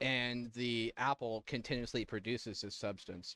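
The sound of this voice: The speaker uses an unforced reading voice. The intonation is fairly even.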